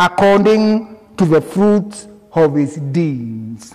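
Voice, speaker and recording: There is noticeable background noise behind the speaker, a man. He talks at a very slow pace. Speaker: Methodist minister. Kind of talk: church sermon.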